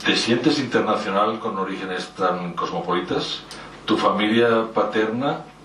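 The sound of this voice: In a room with audible echo, a man talks at a fairly slow pace in a fairly low voice with a fairly bright tone.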